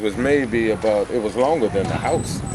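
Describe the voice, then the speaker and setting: Noticeable background noise surrounds a voice talking at a very slow pace. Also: man. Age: 60s. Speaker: community organizer. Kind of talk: interview.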